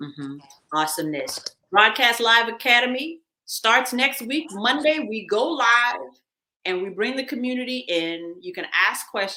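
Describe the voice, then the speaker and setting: A woman's pitch swings very widely as she talks at a moderate speed. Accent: American. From US Northeast (Queens, New York). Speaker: radio host. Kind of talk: casual chat with course promotion. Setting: live stream. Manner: animated.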